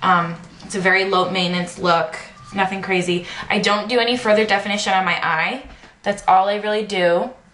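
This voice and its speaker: Against noticeable background noise and audible room echo, a woman talks at a fairly quick pace, medium in pitch and fairly even in intonation. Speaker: beauty vlogger. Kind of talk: tutorial. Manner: fast; hesitant with many fillers.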